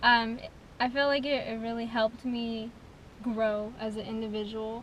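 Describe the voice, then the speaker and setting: A soft-spoken woman talks in a monotone, flat delivery at a fairly high pitch. Audible room echo surrounds her voice. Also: moderate pace. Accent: American. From California, Gilroy. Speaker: rapper. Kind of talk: interview. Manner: quiet.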